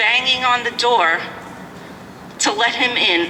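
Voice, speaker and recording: A high-pitched woman with an American accent and ordinary pitch variation, noticeable background noise behind her. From New York City (Brooklyn). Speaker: citizen speaking at a public hearing. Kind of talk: public testimony. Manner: animated.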